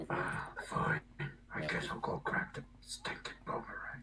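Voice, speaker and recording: A raspy, put-on character voice speaks at a fairly slow pace over light background noise. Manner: grumpy and reluctant.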